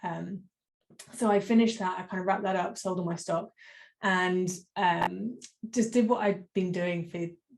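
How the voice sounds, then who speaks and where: With a British accent, a woman speaks at a medium pitch. Her intonation is fairly even, with long, frequent pauses. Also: moderate pace. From United Kingdom. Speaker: business coach. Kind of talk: interview.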